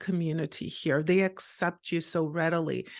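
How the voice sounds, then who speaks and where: A woman with a Montreal accent at a moderate pace, against a quiet background. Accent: Canadian English (Montreal). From Canada, Montreal. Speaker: podcaster and author. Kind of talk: interview.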